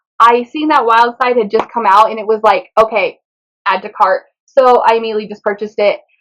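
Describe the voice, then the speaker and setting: A woman's fairly high, animated voice at a fairly quick pace, with big swings in loudness. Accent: Spanish. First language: Spanish. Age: 20s. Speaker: book vlogger. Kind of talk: casual chat.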